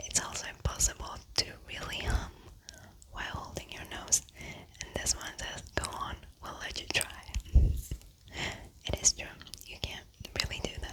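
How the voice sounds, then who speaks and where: A woman whispering over noticeable background noise, with big swings in loudness. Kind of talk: whispered ASMR fun-facts reading for sleep. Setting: studio mic. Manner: soft, whispered.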